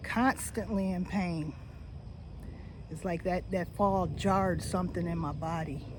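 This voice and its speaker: A woman talks very slowly, and the room's echo is clearly audible. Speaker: retiree vlogger. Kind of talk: personal vlog monologue. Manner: casual, halting with fillers.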